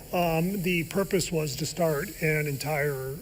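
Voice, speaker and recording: A man with an American accent and a fairly high pitch keeps his intonation fairly even over noticeable background noise. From Ohio. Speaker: professor. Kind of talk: TV interview. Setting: studio. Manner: halting.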